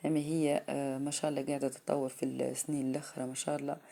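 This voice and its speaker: This woman speaks at a very deep, low pitch, and her tone is dark and mellow. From Tunisia, Sidi Bouzid. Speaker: vlogger. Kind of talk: casual vlog talk to camera. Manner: halting, many fillers.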